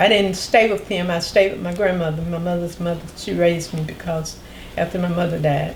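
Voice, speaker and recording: Amid noticeable background noise and audible room echo, a woman with a North Carolina accent speaks at a fairly low pitch and a fairly quick pace in a monotone, flat intonation. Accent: Southern US (North Carolina). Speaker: oral history interviewee. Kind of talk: interview.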